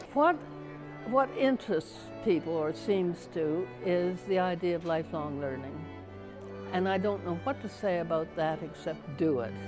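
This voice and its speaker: Music plays in the background as a woman talks at a moderate pace. Her fairly low voice makes very wide pitch swings. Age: 80s+. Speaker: artist and writer, college graduate. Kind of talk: interview answer.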